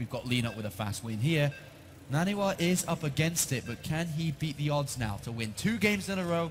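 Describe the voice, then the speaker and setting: A somewhat breathy man with a British accent, fairly high in pitch, with very wide pitch swings. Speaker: esports commentator. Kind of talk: live commentary.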